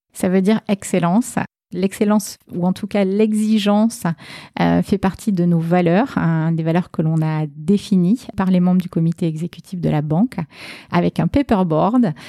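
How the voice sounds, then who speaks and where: A woman with a southwestern French accent talks at a fairly slow pace in a dark, mellow tone. The sound is dry and close, with no echo. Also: medium pitch for a woman, ordinary pitch variation. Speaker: bank marketing and communications director. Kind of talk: interview.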